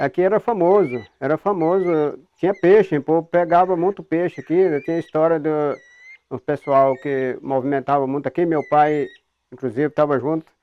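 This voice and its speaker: A man is talking. His voice is fairly high, with ordinary pitch variation. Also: moderate pace. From Goiás, Brazil (rural, near the Caiapó river). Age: 60s. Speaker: riverside local resident. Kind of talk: documentary interview testimony. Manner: hesitant, repeats words.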